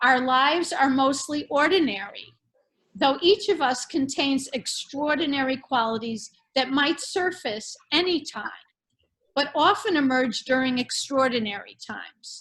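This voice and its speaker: A woman with an American accent speaks at a high pitch. Her pace is fairly slow and her intonation lively. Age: 70s. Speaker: artist. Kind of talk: prepared artist talk. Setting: video call. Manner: formal.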